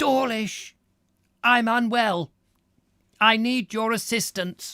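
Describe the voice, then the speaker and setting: A strained, fairly high-pitched put-on character voice at a very slow pace. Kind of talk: formal Victorian-style.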